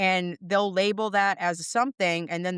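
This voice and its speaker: A woman speaks with a Boston accent and fairly even intonation. The sound is dry and close, with no echo. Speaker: dog trainer. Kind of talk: podcast interview answer.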